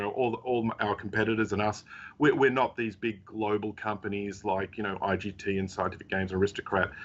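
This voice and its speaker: A man talks at a fairly quick pace in a fairly low pitch. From Australia. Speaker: technology company CEO. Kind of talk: interview. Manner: halting, many fillers.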